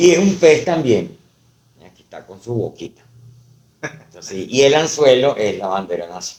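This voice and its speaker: A man speaks at a fairly high pitch, with very wide pitch swings and big swings in loudness. He leaves long, frequent pauses. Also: moderate pace. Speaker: poet and university professor. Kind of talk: casual interview chat. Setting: podcast recorded on camera. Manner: hesitant, many fillers.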